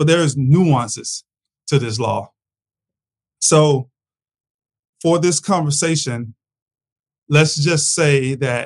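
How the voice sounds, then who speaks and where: A man speaks very slowly at a fairly high pitch, somewhat breathy and with ordinary pitch variation. The sound is dry and close, with no echo. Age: 40s. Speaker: freight broker and podcast host. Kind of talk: solo commentary podcast.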